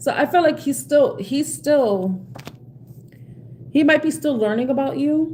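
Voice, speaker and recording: A woman's high-pitched voice with an American accent, very wide pitch swings, a fairly slow pace, long and frequent pauses, and noticeable background noise. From New York City, South Bronx. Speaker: tarot card reader. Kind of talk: live stream tarot reading with chat. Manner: halting, repetitive.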